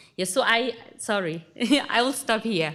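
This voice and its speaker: A woman's voice with lively intonation. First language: not English. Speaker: research associate, religion scholar. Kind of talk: panel talk. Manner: halting.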